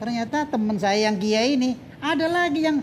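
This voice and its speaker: A man speaks at an extremely high pitch with very wide pitch swings and a moderate pace. Noticeable background noise sits behind him. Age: 60s. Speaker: Islamic cleric and motivational speaker. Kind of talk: casual interview chat.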